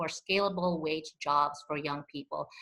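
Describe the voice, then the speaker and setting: The woman's pace is moderate. Her pitch shifts in an ordinary way. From immigrant refugee to the US. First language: not English; English is fourth language. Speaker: community advocate, panelist. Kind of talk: panel discussion.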